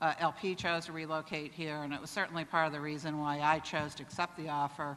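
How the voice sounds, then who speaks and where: Fairly quick talk with a Cleveland accent. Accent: Cuyahoga (Cleveland, Ohio). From northern Ohio (Cleveland area). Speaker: corporate executive. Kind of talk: conference speech. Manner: halting, many fillers.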